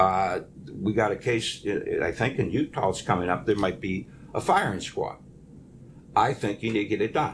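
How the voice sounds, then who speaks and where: A man with an American accent speaks at a fairly low pitch and a moderate pace. His voice is somewhat breathy, with ordinary pitch variation. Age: 70s. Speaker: county prosecutor. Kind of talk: news interview. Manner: forceful.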